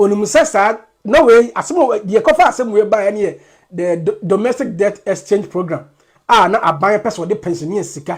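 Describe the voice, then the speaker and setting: Someone speaks at a moderate pace with a Ghanaian accent. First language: Twi. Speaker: commentator. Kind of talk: political commentary.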